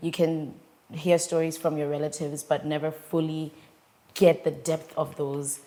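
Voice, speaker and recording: A woman speaks with very deep, low pitch and monotone, flat intonation. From Japan, with visits to Botswana. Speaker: author and poet. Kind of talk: interview conversation.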